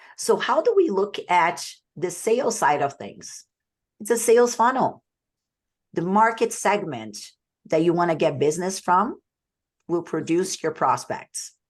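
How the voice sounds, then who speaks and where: Against a quiet background, a woman with a Portuguese accent speaks fairly slowly at a medium pitch, with lively intonation and long, frequent pauses. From Brazil. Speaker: sales coach. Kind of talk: webinar presentation.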